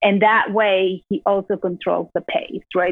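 A woman with a Spanish accent speaks at a medium pitch and a moderate pace, her intonation fairly even. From Peru. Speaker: entrepreneur. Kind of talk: interview.

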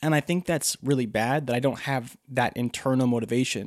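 This very clean recording has a silent background and a dry, close sound with no echo. A man uses a normal speaking voice at a moderate pace, with medium pitch and ordinary pitch variation. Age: 20s. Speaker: podcaster and photographer/videographer. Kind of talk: casual solo monologue. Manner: conversational, many fillers.

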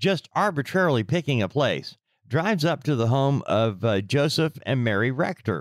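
Recorded very cleanly against a silent background, with a dry, close sound and no echo, a man of medium pitch speaks at a fairly slow pace with lively intonation. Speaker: true crime podcast co-host. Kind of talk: casual true crime discussion. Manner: animated, incredulous.

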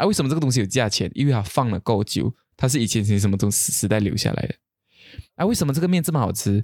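Dry and close with no echo, a man talks at a very fast pace in a medium pitch, with lively intonation and very even loudness. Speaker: podcast co-host. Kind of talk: casual chat.

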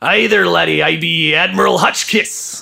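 Using a put-on, raspy character voice, a man delivers his lines at a moderate pace. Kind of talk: old-fashioned, nautical.

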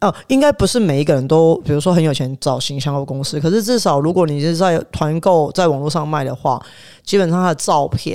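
A man speaks at a fairly high pitch and a moderate pace. His tone is animated, with ordinary pitch variation. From Taiwan, south. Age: 30s. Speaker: chef. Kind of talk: casual chat.

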